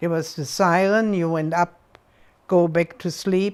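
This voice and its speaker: Here a woman speaks in a German accent at a fairly low pitch. The recording is very clean, with a silent background. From Berlin, Germany. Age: 80s+. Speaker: World War II survivor. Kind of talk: interview answer. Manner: energetic.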